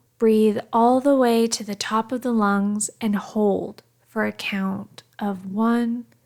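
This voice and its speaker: A woman speaks at a very slow pace in a soothing, calm tone. Her pitch is fairly high and her intonation fairly even. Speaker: meditation guide. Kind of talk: guided meditation. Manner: soothing, calm, gentle.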